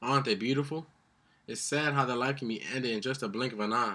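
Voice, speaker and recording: Speaking at a very fast pace, a man uses a bright, sharp tone at medium pitch with ordinary pitch variation. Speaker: spoken word poet. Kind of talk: spoken word poetry performance.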